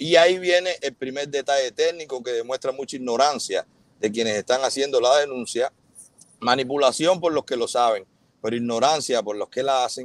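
Speech in a Cuban accent at a moderate pace, with a dry sound, no echo and a quiet background. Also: man. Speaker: influencer and businessman. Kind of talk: live interview, defending himself. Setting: video call, livestream. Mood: earnest, defensive explanation. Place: car. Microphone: earbuds.

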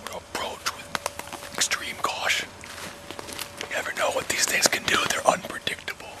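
At a moderate pace, a man speaks in a whisper. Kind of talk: comic mock-documentary narration. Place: forest. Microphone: camera far.

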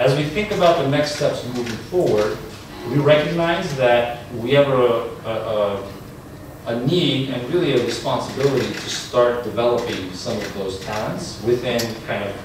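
Strong room echo surrounds speech at a moderate pace, with noticeable background noise. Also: man. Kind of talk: answer to an audience question. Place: classroom. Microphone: camera far.

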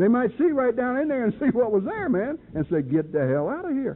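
A man with a Southern US accent, animated in tone, at a fairly quick pace with very wide pitch swings over light background noise. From North Carolina, US South. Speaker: recovery speaker. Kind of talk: testimony. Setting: stage with audience.

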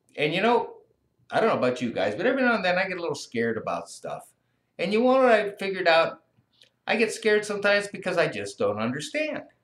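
Audible room echo around a man's very fast pace. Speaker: teacher or school staff reading to kids. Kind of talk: story reading to children. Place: classroom. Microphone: webcam.

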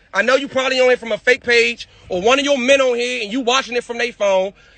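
A man speaks loudly at a very fast pace, his pitch extremely high. His intonation stays fairly even, and the sound is dry with no echo. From Maryland / DC area. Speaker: rapper in a feud; live streamer. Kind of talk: heated argument on livestream. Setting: outdoors, livestream. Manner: loud, aggressive.

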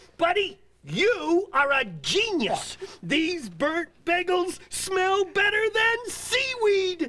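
An extremely high-pitched, cartoonish character voice. It moves at a very slow pace. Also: hardly any pauses. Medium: puppet show. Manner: cheerful, eager, chatty.

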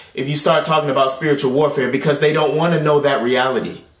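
A man with an American accent speaks at a fairly high pitch. The background is quiet, but there is audible room echo. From Tulsa, United States. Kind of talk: sermon delivery. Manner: earnest, emphatic, persuasive. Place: home room.

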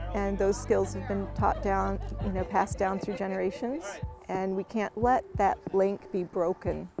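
Clear music plays in the background of this dry recording with no echo. The speaker goes at a moderate pace. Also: woman. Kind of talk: interview answer. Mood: earnest, concerned about heritage. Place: waterside.

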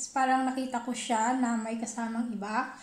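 A high-pitched woman speaks at a moderate pace. The room echo is audible. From Philippines. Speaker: vlogger, housewife; vlogger. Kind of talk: casual vlog storytelling. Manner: halting, self-correcting. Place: kitchen. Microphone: phone near.

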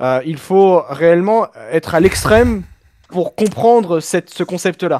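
The surroundings are quiet. A man does the talking. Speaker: F1 fan on stream call; streamer. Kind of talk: casual debate. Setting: webcam microphone over voice chat. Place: home room.

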